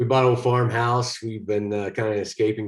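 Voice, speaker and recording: A man talks with a Texas accent. The recording is very clean, with a silent background. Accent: Texas drawl. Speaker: actor. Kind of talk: interview.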